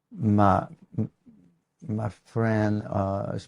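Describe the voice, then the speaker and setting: A man's fairly low voice with a dark, mellow tone, fairly even intonation and a French accent, on a very clean recording with a silent background. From France, northeast near Luxembourg border. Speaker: guitar maker. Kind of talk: casual interview, storytelling. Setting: workshop. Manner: halting, many fillers and repeats.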